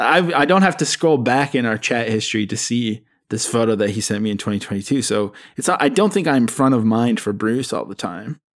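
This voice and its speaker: An unremarkable speaking voice from a man of medium pitch, lively in intonation at a fairly quick pace, on a very clean recording with a silent background. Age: 30s. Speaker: music journalist. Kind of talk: casual chat.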